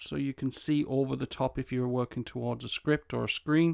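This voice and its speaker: A fairly high-pitched man with an English accent keeps a fairly even intonation in a dry, close sound with no echo, on a very clean recording with a silent background. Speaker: tech reviewer and voiceover artist. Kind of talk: product review. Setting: home desk recording setup. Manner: casual, hesitant with fillers.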